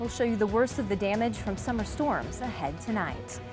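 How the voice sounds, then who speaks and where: With music playing behind her, a woman speaks very fast in a fairly high pitch. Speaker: news anchor (audition). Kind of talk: local TV news anchor read.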